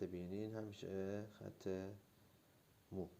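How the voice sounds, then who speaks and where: This man speaks at a very slow pace. His pitch is fairly low and his intonation is monotone and flat. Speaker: drawing teacher. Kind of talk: tutorial. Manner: halting.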